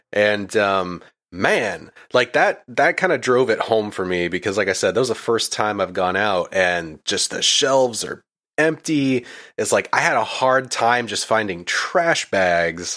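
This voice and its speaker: The recording is very clean, with a silent background. A man speaks fairly slowly in a bright, sharp tone, fairly low in pitch, with lively intonation. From Maine. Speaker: podcast host and editor. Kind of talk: casual chat.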